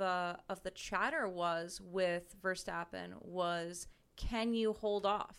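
Very slowly, a woman speaks with a bright, sharp tone and fairly even intonation. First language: French. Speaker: campus radio co-host. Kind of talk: casual chat. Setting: radio studio.

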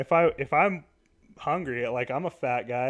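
Here a man speaks in a normal speaking voice. His pitch is medium, with ordinary variation. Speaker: podcast host. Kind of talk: casual chat. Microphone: new USB microphone.

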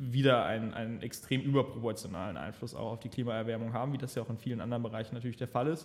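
Speaking at a medium pitch, the man keeps his intonation fairly even. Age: 20s. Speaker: podcast co-host, entrepreneur. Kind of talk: casual political discussion. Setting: office. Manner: hesitant, many fillers.

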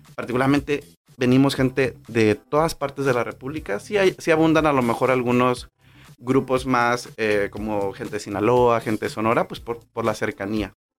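His pace is moderate and his pitch is medium. The man's pitch variation stays ordinary. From Mexico, Manzanillo, Colima. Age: 30s. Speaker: podcast host, nutritionist. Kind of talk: personal storytelling monologue. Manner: hesitant, many fillers.

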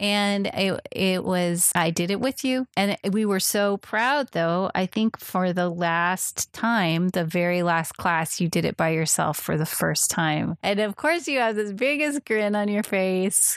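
In a dry, close sound with no echo, a woman with a plain, everyday voice speaks at a fairly slow pace, medium in pitch with ordinary variation and very even loudness. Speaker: podcast co-host. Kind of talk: casual chat. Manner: laughs often.

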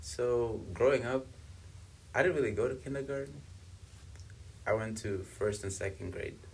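A man at a medium pitch with vocal fry, lively intonation and long, frequent pauses. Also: moderate pace. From South Africa, born in Congo. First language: Swahili and Kibembe. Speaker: university student. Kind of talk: casual interview.

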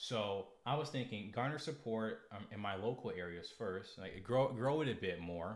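An unremarkable speaking voice with an American accent moves at a moderate pace. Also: man. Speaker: political livestreamer. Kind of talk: casual livestream monologue.

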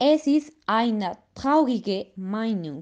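Speaking very slowly, a woman with a Spanish accent uses a fairly high pitch. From Colombia. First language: Spanish (speaking German). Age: 20s. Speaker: nature activist. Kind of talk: scripted podcast discussion.

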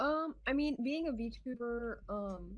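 A woman's fairly high voice, a plain, everyday voice, with lively intonation. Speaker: VTuber streamer. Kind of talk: casual chat.

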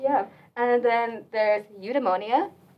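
A woman speaks with an American accent in an ordinary speaking voice. Her pitch sits fairly high, and her pace is moderate. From US Southwest. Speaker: podcast host, university student. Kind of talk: casual chat. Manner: casual, laughs often.

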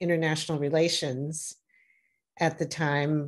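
In an American accent, a woman speaks with a fairly low pitch and monotone, flat intonation against a quiet background. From US Midwest, Milwaukee, Wisconsin. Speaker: corporate lawyer. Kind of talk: interview.

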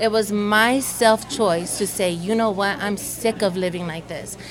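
A woman's medium-pitched voice with an American accent, moderate pace, fairly even intonation, and noticeable background noise. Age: young. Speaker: church member and spoken word performer. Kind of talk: casual interview. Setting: coffee shop.

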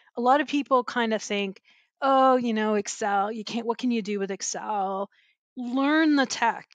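A woman with a normal speaking voice talks at a moderate pace and a fairly high pitch with ordinary pitch variation, the sound dry and close with no echo and a quiet background. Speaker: financial compliance and risk executive. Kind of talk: casual interview. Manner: warm, laughing, conversational.

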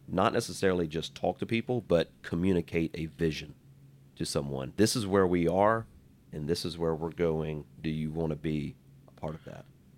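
A man's very deep, low voice with an American accent and fairly even intonation. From US, small town. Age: 30s. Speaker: entrepreneur, business owner. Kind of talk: casual interview.

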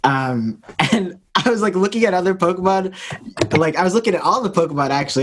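This man talks at a very fast pace with a high pitch and lively intonation. Noticeable background noise runs underneath. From Toronto, Canada. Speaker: rapper and gamer. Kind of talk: casual chat.

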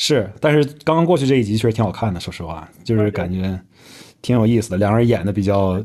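Against a quiet background, a man with a fairly low pitch talks at a fairly quick pace in an ordinary speaking voice. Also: lively intonation. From Northeast China. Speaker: podcast host. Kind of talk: casual chat.

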